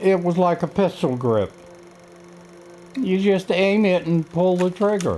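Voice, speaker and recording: Over background music, a man with a high-pitched voice and a North Carolina accent talks at a fairly slow pace with long, frequent pauses, ordinary pitch variation and very even loudness. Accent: Southern US, North Carolina. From US South, North Carolina. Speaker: air force veteran. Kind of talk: personal testimony.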